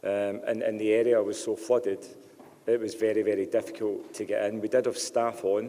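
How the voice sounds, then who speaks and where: A man talks at a fairly quick pace with a Scottish accent. His intonation stays fairly even. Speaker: telecom company representative. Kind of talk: public meeting Q&A. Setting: public meeting hall. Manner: hesitant, many fillers.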